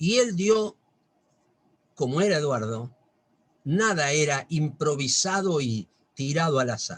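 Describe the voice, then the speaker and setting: A somewhat breathy male voice at a very slow pace, with lively intonation and long, frequent pauses. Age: 60s. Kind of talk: religious talk. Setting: video call.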